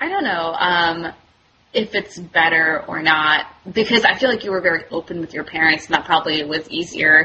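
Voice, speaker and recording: In a normal speaking voice, a woman talks at a moderate pace with fairly low pitch and ordinary pitch variation. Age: 30s. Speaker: medical student. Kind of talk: casual chat.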